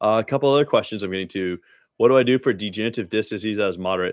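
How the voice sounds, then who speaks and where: A man talks very fast in an American accent, his pitch fairly low with ordinary variation. The sound is dry with no echo against a quiet background. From Dallas, Texas; Texas. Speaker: spine surgeon. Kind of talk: live-stream Q&A. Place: home room. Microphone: studio mic.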